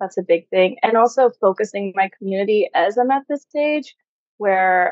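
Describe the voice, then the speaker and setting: At a moderate pace, a woman talks at medium pitch in an unremarkable speaking voice. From US. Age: 30s. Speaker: sex coach. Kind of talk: interview conversation.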